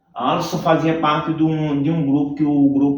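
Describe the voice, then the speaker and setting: Audible room echo surrounds a man speaking at a fairly high pitch and fairly slow pace. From Northeast Brazil (Campina Grande, Paraíba; also Fortaleza). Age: 40s. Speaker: capoeira instructor. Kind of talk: interview.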